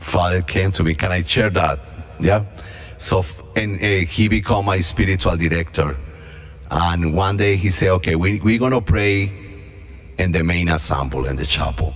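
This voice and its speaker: The speech moves at a moderate pace with ordinary pitch variation, and audible room echo surrounds it. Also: man, very deep, low pitch for a man. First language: not English. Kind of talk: mission talk / reflection. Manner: halting.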